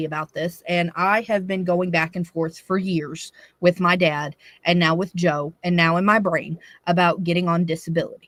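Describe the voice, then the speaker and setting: In a Southern US accent, a woman talks at a fairly low pitch, the sound dry and close with no echo. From US South, Tennessee. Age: 30s. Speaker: live stream co-host. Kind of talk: casual chat. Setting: live stream.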